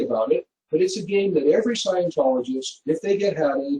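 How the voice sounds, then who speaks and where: This man speaks with a dark, mellow tone and ordinary pitch variation. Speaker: Scientology field staff speaker. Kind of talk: webinar presentation. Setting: webinar.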